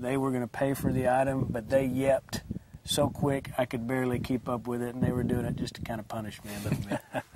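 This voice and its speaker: Fairly even in intonation, a man at medium pitch talks at a fairly quick pace over noticeable background noise. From Tennessee. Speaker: auctioneer. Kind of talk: interview answer.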